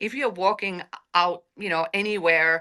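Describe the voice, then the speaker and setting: Speaking at a moderate pace in a Finnish accent, a woman with a bright, sharp tone comes through on a very clean recording with a silent background. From Finland. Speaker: AI panel speaker. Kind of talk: casual chat.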